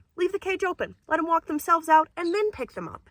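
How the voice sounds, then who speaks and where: A woman's raised, projected voice, extremely high in pitch and bright and sharp in tone, moves at a fairly quick pace in a dry, close sound with no echo. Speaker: bird trainer and video creator. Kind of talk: casual chat. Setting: outdoors.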